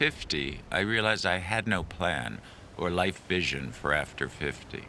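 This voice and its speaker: The man's pitch is very deep and low, and his intonation is lively. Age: 60s. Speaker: documentary narrator. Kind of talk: reflective documentary narration.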